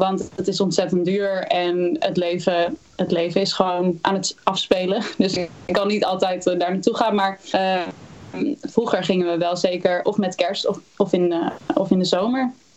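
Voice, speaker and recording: Against noticeable background noise, a woman speaks at a medium pitch and a fairly slow pace with fairly even intonation. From Netherlands, Utrecht area (Houten). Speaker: singer-songwriter. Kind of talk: interview.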